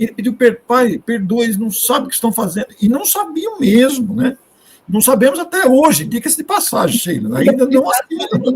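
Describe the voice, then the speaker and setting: At a moderate pace, a man speaks with an extremely high pitch and lively intonation. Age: 60s. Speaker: spiritist speaker. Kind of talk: live discussion.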